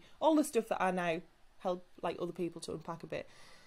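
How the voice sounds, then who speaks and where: With a northern English accent, a woman speaks at medium pitch. Her pace is fairly quick. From northern England. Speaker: salon business mentor and hair extension specialist. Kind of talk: podcast interview. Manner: casual, chatty with many fillers.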